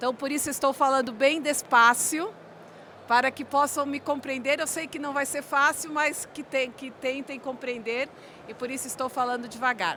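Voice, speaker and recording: Her voice raised and projected, a woman speaks at a high pitch with fairly even intonation. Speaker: corporate presenter. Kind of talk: conference presentation. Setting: conference room with audience. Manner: slow.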